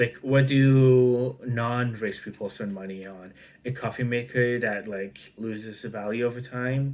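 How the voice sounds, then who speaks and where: A non-native accent at a fairly slow pace, in a very clean recording with a silent background. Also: man. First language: not English. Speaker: online commentator. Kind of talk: casual news reaction commentary. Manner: halting, many fillers.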